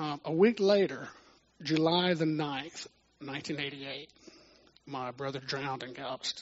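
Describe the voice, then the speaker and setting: A man with a Texan accent speaks at a fairly high pitch and a fairly slow pace. Long, frequent pauses break up his speech, and his pitch varies in an ordinary way. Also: big swings in loudness. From Texas (Houston). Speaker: church minister, musician. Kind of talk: testimony.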